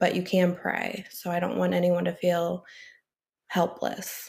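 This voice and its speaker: With an American accent, a woman talks at a fairly low pitch and a fairly slow pace in a very clean recording with a silent background. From US Midwest, St. Louis area. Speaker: addiction counselor. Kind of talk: casual interview.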